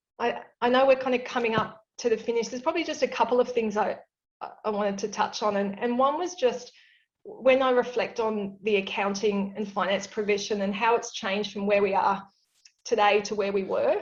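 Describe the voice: Audible room echo surrounds a woman whose fairly high voice keeps a fairly even intonation. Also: moderate pace.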